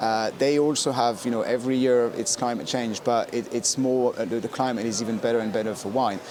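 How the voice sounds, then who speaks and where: The speaker moves at a fairly quick pace with hardly any pauses and fairly even intonation, against noticeable background noise. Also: man, medium pitch for a man. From France. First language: French. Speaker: wine specialist. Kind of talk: casual chat. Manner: halting.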